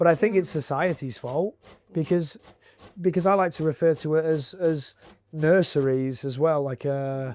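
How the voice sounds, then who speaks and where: A man speaks with a normal speaking voice at a moderate pace. His pitch sits fairly high, with ordinary variation. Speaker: interviewer, video host. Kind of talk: casual interview conversation.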